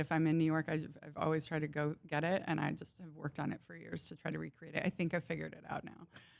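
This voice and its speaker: A woman talks with a very deep, low pitch and vocal fry. Her intonation is monotone and flat, in a very clean recording with a silent background. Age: 40s. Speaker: personal chef. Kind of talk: casual chat.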